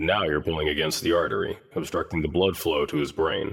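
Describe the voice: Putting on a character voice, a man speaks at an extremely low pitch with vocal fry, a slightly husky edge and a fairly bright tone, fairly quickly and with fairly even intonation, on a very clean recording with a silent background.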